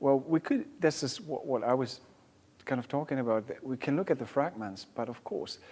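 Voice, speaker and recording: German-accented man with a dark, mellow tone, fairly high pitch, ordinary pitch variation and a moderate pace. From Germany. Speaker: music therapy researcher. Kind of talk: panel discussion. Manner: halting.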